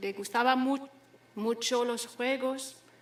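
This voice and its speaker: In a French accent, a woman speaks at a very slow pace with a high pitch and fairly even intonation. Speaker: daughter of the late poet. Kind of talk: memorial speech. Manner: halting.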